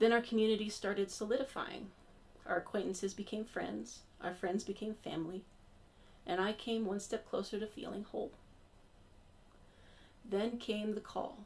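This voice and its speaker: A woman speaks with vocal fry and fairly even intonation, leaving long, frequent pauses. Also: medium pitch for a woman, moderate pace. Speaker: congregation member giving a church sermon. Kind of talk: sermon delivered to a congregation, personal storytelling. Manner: humorous, personal, conversational.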